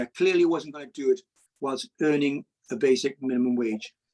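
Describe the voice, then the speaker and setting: Someone with an English accent is heard in a dry, close recording with no echo. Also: man. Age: 60s. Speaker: cab driver and money YouTuber. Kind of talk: interview.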